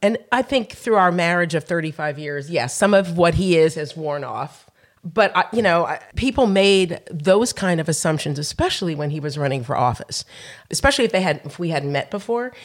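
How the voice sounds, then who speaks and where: Against a very clean, silent background, a woman with a fairly low voice speaks at a moderate pace with lively intonation, in an unremarkable speaking voice. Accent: American. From New Jersey, US Northeast. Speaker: chef and restaurant owner. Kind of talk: interview conversation.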